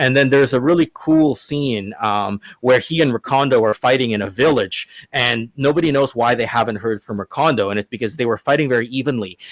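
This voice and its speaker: On a very clean recording with a silent background and a dry, close sound with no echo, a man of medium pitch speaks at a fairly quick pace with ordinary pitch variation. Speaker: toy collector, channel host. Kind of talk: casual chat. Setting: live stream. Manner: halting, many fillers.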